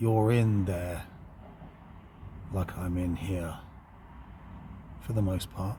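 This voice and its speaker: A man with a very deep, low voice speaks at a very slow pace, leaving long, frequent pauses. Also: ordinary pitch variation. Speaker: occult channel host. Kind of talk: spiritual monologue. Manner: reflective, slow.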